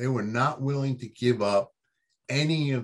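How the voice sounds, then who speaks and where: In an ordinary speaking voice with ordinary pitch variation, a man talks at a fairly slow pace against a quiet background. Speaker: baseball writer guest. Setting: video call from home.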